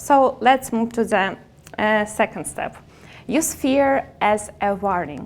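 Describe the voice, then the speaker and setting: In a non-native accent, a woman speaks at a very slow pace. Her pitch is fairly high, with ordinary pitch variation. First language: not English. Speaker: public speaker. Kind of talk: motivational talk. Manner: halting.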